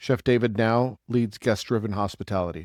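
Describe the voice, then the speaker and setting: An ordinary speaking voice with ordinary pitch variation moves at a moderate pace in a dry, close sound with no echo on a very clean recording with a silent background. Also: man. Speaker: podcast host. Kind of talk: podcast intro and interview talk.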